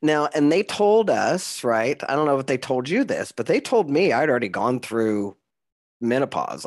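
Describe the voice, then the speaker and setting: This man's vocal fry and very wide pitch swings come through at a moderate pace in a very clean recording with a silent background. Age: 50s. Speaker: podcast host. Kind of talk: interview.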